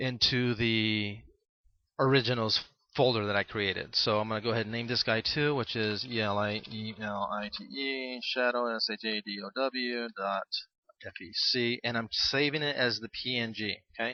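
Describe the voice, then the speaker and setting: Fairly even intonation from a man at medium pitch. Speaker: tutorial host. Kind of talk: tutorial. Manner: fast.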